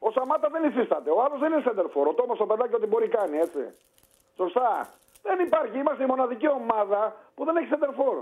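Using very wide pitch swings, a man talks at a very fast pace in an extremely high pitch. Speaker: caller. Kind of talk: casual chat.

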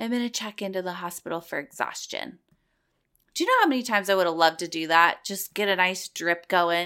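A woman with a medium pitch and a bright, sharp, animated tone talks at a fairly quick pace with ordinary pitch variation. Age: 30s. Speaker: podcast host. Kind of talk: casual chat.

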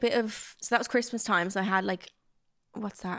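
Talking at a fairly quick pace, a woman speaks in a Dublin accent. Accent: Dublin Irish. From South Dublin, Ireland. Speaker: influencer and podcaster. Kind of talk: casual chat.

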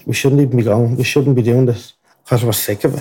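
Very fast, somewhat breathy speech in an Irish accent, dark and mellow in tone, with fairly even intonation. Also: man. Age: 20s. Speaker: murder trial witness. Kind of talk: testimony.

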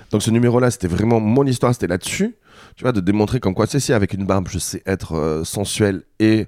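Recorded very cleanly with a silent background and a dry, close sound with no echo, a man speaks at a fairly low pitch. His tone is dark and mellow, with a fairly quick pace and ordinary pitch variation. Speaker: drag queen and burlesque performer. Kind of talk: casual chat. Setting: studio.

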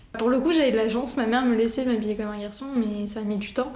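Speaking at a very fast pace, a woman with a fairly high pitch keeps a monotone, flat intonation, and audible room echo surrounds her voice. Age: 20s. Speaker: fashion photographer. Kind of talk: casual interview monologue. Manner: hesitant, with fillers.

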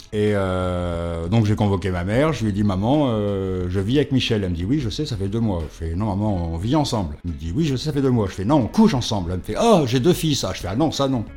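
Racing at a very fast pace with hardly any pauses, a man with a fairly low pitch and a dark, mellow tone speaks with lively intonation. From France, Paris and provinces. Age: 50s. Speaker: interviewee. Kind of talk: testimony.

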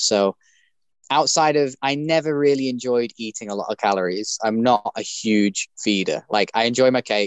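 With ordinary pitch variation, a man talks in a medium pitch. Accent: British. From UK. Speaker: bare knuckle boxer and former pro wrestler. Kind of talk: interview.

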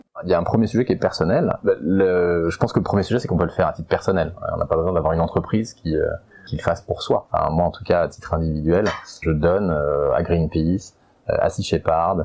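Here a man talks at a very fast pace. Noticeable background noise runs underneath. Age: 40s. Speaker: company founder and CEO. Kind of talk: testimony. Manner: halting, many hesitations.

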